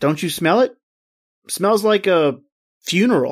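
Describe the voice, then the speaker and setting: A man's put-on character voice, raspy and high for a man, with lively intonation at a moderate pace, on a very clean recording with a silent background. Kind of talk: radio drama performance. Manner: casual, colloquial.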